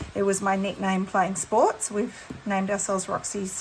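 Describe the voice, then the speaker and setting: A woman with an Australian accent speaks over light background noise. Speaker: textile art teacher. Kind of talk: tutorial. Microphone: phone near.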